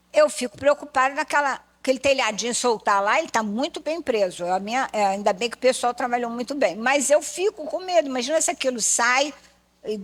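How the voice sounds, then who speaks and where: This woman has a high pitch and lively intonation. She speaks at a moderate pace. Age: 70s. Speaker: church lecturer. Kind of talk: sermon-style lecture. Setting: church pulpit.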